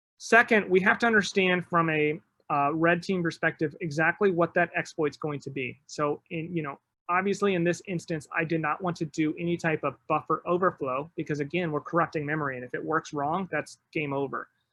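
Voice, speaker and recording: A man with a bright, sharp tone and a high pitch speaks fairly quickly with fairly even intonation. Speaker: penetration tester giving a security talk. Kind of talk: conference-style presentation. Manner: fast; casual with filler words.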